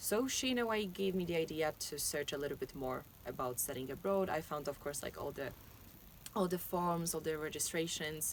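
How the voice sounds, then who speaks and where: Lively intonation from a woman at a fairly low pitch, delivered at a fairly quick pace. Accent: Polish. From Poland. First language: Polish. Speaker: university student. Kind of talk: interview. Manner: halting.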